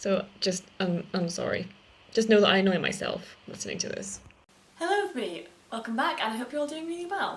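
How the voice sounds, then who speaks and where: A woman at a fairly high pitch with very wide pitch swings and a fairly quick pace, over noticeable background noise. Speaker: booktuber. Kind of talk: casual reaction video. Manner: animated.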